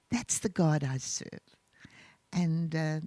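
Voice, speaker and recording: Fairly slow, somewhat breathy speech from a woman. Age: 70s. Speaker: pastor and author. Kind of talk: interview. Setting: church online service.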